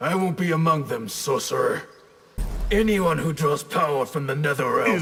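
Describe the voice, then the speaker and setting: A raspy, fairly high cartoonish character voice from a man. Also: moderate pace. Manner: fierce, confident.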